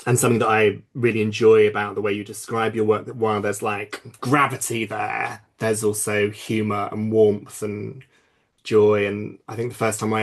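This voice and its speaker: A man speaks at a fairly quick pace. His fairly low voice is monotone, with flat intonation. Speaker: curator and dramaturge. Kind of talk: panel discussion. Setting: video call. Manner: loud laugh.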